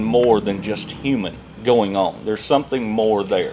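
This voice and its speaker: With music in the background, a man talks at a moderate pace in a Southern US accent. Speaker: podcast co-host. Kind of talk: casual chat.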